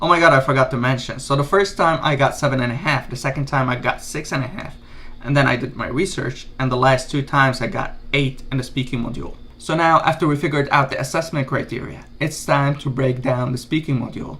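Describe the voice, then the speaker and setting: Rushing at a very fast pace, a man with an Arabic accent speaks at a fairly high pitch in a bright, sharp tone. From Lebanon. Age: 30s. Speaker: YouTuber giving exam tips. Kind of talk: tutorial. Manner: casual, energetic.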